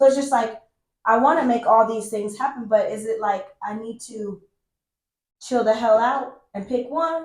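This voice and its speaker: Her loudness swings widely while a woman speaks at a fairly high pitch. Her pitch variation is ordinary. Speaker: podcast host. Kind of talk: casual interview chat. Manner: fast.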